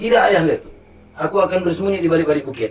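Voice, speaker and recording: A man with a Riau Islands accent talks at a very fast pace in a high pitch. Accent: Daik Lingga Malay dialect. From Lingga, Riau Islands, Indonesia. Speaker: MC and folk theatre actor. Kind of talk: podcast interview answer.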